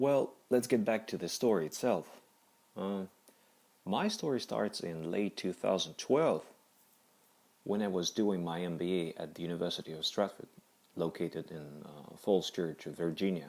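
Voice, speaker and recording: A man with a non-native accent speaks in a very deep, low voice at a moderate pace. His speech has long, frequent pauses. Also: ordinary pitch variation. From Kazakhstan. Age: 30s. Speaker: cancer survivor. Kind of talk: personal testimony. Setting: audio-only recording. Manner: halting.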